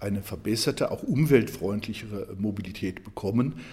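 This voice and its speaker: A somewhat breathy male voice, fairly low in pitch, with a dark, mellow tone. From Germany, Saarland. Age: 60s. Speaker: economics professor and political candidate. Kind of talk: interview. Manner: hesitant with frequent fillers.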